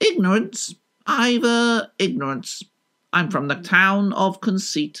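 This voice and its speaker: Put-on character voice from a man, high in pitch, with lively intonation and a fairly slow pace. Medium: read story. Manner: smug, self-assured.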